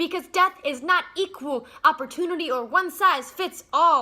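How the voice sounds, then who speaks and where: Here a woman uses a raised, projected voice with a bright, sharp tone. Her pace is fairly slow. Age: young. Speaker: spoken word poet. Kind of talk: spoken word poetry performance.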